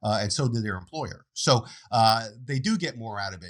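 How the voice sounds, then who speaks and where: A man's intonation is lively. The recording is very clean, and the background is silent. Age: 60s. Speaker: financial planner. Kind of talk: interview.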